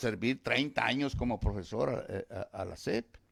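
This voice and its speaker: A man speaks at a fairly slow pace. His voice has vocal fry. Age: 70s. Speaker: retired teacher and farmer, governor's father. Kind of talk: radio interview. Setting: radio studio. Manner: halting, repeats words.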